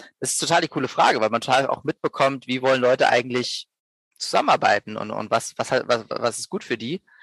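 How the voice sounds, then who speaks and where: With ordinary pitch variation and a medium pitch, a man talks at a very fast pace in a dry, close sound with no echo. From Berlin, Germany. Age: 30s. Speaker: social business co-founder. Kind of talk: podcast interview. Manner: halting, many repetitions and fillers.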